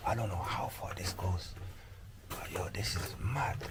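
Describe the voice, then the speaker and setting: Whispering at a fairly slow pace, a man is heard with audible room echo and noticeable background noise. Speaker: travel vlogger. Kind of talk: casual vlog narration. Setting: underground tunnels, on the move. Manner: talking quietly; animated.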